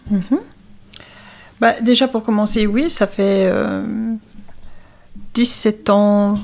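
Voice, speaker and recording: A woman talks at a medium pitch with ordinary pitch variation. The recording is very clean, with a silent background. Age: 60s. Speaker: addiction counselor. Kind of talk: interview.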